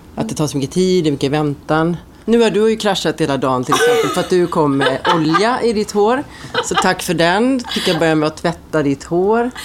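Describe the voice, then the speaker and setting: With noticeable background noise behind her, a woman speaks at a fairly quick pace and a fairly low pitch, her intonation lively and her loudness very even. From Sweden, Ulricehamn. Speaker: hairdresser. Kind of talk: casual chat.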